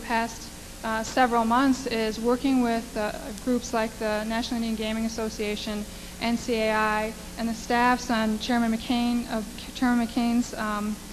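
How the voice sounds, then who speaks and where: With noticeable background noise behind her, a woman with an American accent speaks at a moderate pace in a fairly high pitch, her intonation monotone and flat. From US Midwest, Wisconsin (Menominee Reservation). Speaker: lobbyist. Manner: halting, many fillers.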